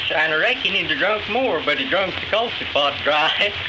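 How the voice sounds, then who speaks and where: A man with an Appalachian accent speaks at a high pitch with ordinary pitch variation. Noticeable background noise runs behind him. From Galax, Virginia, USA. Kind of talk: folk interview anecdote, storytelling. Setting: 1937 archival field recording.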